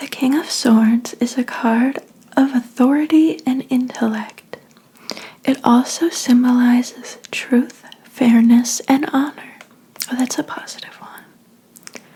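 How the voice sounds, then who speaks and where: The speaker is soft-spoken and talks at a very slow pace. Noticeable background noise runs under the voice. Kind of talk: ASMR tarot reading roleplay as a fortune teller. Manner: soft-spoken, relaxing.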